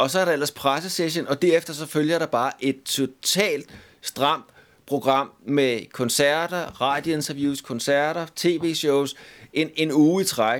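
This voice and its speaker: On a very clean recording with a silent background, a man talks at a very slow pace with fairly even intonation. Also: fairly high pitch for a man. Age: 50s. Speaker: musician. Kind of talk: casual chat.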